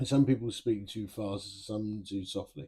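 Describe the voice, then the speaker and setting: Somewhat breathy and fairly low in pitch, a man's voice moves at a fairly slow pace. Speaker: person with Parkinson's disease. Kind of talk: casual talk to camera.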